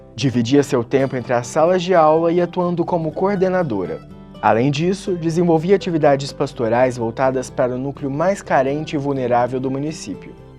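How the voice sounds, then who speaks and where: A man's fairly high voice with ordinary pitch variation, a moderate pace and hardly any pauses, music in the background. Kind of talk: documentary podcast narration.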